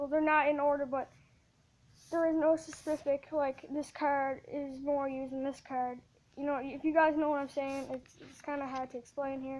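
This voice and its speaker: A woman speaks at a moderate pace in a high voice with monotone, flat intonation. Her loudness swings widely. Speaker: gaming youtuber. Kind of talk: casual video commentary. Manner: halting, many fillers and self-corrections.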